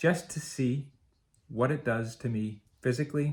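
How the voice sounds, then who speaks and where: Somewhat breathy, this voice moves at a fairly slow pace with ordinary pitch variation. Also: man. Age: 50s. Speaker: marathon coach and runner. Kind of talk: personal video blog monologue.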